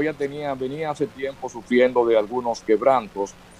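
A man's pitch moves in an ordinary way over background music. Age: 70s. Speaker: veteran journalist and author. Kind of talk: interview conversation.

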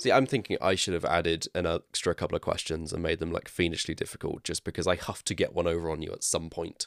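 A man with a very deep, low voice speaks at a very fast pace with hardly any pauses. His pitch variation is ordinary, and the sound is dry and close with no echo. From West Country, England. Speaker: podcast co-host. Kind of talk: casual chat.

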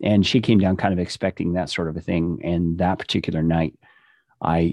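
A man's very deep, low voice in an American accent, dark and mellow in tone, with fairly even intonation at a fairly quick pace against a quiet background. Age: 50s. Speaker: podcast production business owner and former pastor. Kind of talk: casual interview.

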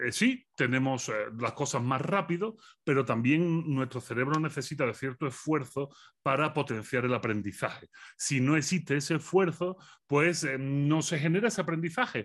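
An unremarkable speaking voice: a man with a fairly high pitch and ordinary pitch variation. He speaks at a moderate pace against a quiet background. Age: 40s. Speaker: philosopher. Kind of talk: interview.

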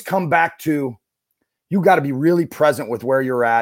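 Lively intonation and a moderate pace in a man's voice, an ordinary speaking voice. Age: 40s. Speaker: former college basketball coach, IT consulting business owner. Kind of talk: podcast interview.

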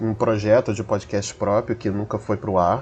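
A man speaks with music playing in the background. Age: 30s. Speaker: podcast editor. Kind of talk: self-introduction.

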